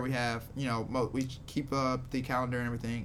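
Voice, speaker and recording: A man talks fairly quickly, his voice echoing audibly in the room while noise is noticeable behind him. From Louisiana, Shreveport. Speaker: comedian and comedy producer. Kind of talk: casual chat.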